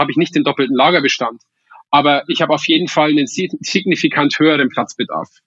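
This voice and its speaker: Pitched fairly high, a man talks at a moderate pace with fairly even intonation. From Upper Palatinate, Bavaria (Weiden). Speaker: startup founder, engineer. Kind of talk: podcast interview. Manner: frequent hesitations and repetitions.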